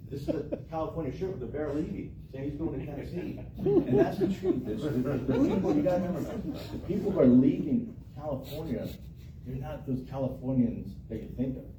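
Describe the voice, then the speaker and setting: There is noticeable background noise and audible room echo as a man with an American accent speaks at a fairly quick pace, his fairly high voice showing ordinary pitch variation. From Florida. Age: 50s. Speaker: local political candidate. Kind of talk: candidate Q&A at public meeting. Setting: meeting room with audience. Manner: casual, halting with repetitions.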